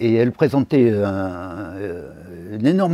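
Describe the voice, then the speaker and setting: A man talks at a very slow pace with lively intonation and a dark, mellow tone. The sound is dry and close, with no echo. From Limousin, Haute-Vienne. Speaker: professor emeritus, lecturer. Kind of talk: lecture. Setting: stage with audience. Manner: hesitant, many fillers.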